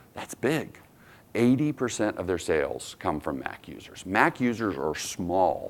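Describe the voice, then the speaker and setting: Fairly slow delivery with vocal fry, big swings in loudness and very wide pitch swings. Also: man, medium pitch for a man. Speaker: conference speaker. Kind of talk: conference talk.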